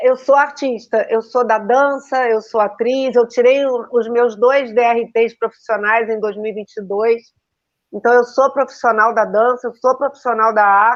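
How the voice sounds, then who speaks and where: Against a quiet background, a woman speaks in a normal speaking voice with fairly even intonation. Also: fairly high pitch for a woman, fairly slow pace. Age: 60s. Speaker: teacher and school owner, numerologist. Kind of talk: casual interview on a live stream. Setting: online live stream.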